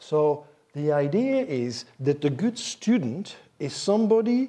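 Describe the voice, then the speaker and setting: Over a quiet background, a man with a Flemish accent speaks in a dark, mellow tone, his pitch swinging very widely. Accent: Belgian (Flemish) English. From Belgium. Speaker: professor of Chinese. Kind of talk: lecture. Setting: stage with audience. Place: hall.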